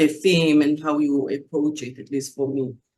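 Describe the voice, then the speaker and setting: With an Israeli accent, a woman speaks at a very deep, low pitch with ordinary pitch variation. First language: Hebrew. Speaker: poet. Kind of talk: panel discussion. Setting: video call.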